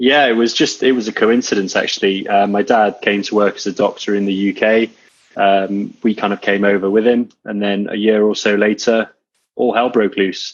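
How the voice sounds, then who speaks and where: Speaking at a moderate pace, a man with a slight Welsh accent keeps a fairly low pitch and fairly even intonation. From Wales. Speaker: coach and entrepreneur. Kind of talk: interview.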